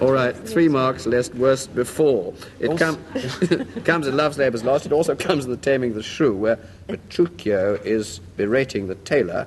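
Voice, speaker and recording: A man's medium-pitched voice at a moderate pace, lively intonation, and noticeable background noise. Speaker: radio quiz show host. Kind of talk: radio panel show hosting.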